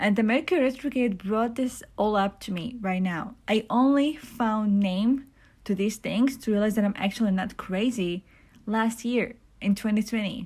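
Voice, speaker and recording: A woman with a fairly high pitch and ordinary pitch variation speaks in a somewhat breathy voice at a moderate pace, recorded very cleanly against a silent background. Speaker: spiritual vlogger. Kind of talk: casual monologue. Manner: halting, many fillers.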